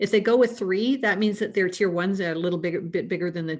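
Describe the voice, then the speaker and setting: With a Canadian accent, a woman has an unremarkable speaking voice pitched fairly low, with ordinary pitch variation. The recording is very clean, the background silent. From Canada. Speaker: risk management consultant. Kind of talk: panel discussion.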